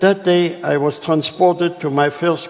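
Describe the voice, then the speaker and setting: A man speaks in a German accent. His pace is fairly slow. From Germany. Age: 80s+. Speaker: Holocaust survivor. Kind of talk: public talk.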